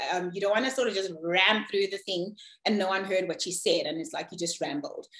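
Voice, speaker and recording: A woman speaks at a medium pitch and a fairly quick pace. Her pitch varies in an ordinary way. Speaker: corporate presenter. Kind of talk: presentation. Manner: fast.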